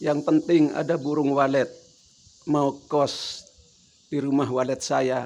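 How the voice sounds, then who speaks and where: This man has a fairly high pitch. He talks at a very slow pace. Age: 70s. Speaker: elderly vlogger. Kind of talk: casual monologue. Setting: at home.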